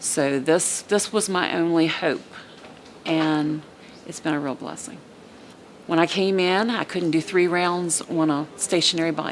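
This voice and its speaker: Noticeable background noise sits behind a woman with a fairly low voice. She talks at a fairly slow pace with ordinary pitch variation. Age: 60s. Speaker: heart patient. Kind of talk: testimonial interview. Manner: animated.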